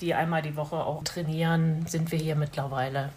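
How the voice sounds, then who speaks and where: A woman talks in an ordinary speaking voice. Her pitch is fairly low and her intonation fairly even. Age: 50s. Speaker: blind tennis player, police administrative employee. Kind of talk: interview.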